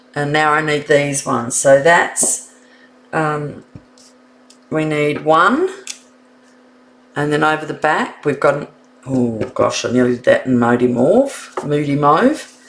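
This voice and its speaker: Amid noticeable background noise, a woman with a very deep, low pitch speaks at a fairly slow pace, with ordinary pitch variation and long, frequent pauses. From New Zealand. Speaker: card making instructor. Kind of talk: live stream tutorial. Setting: live stream. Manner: casual, thinking aloud.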